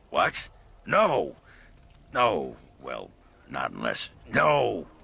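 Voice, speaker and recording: In a put-on character voice, a man speaks very slowly with a raspy edge. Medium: video game.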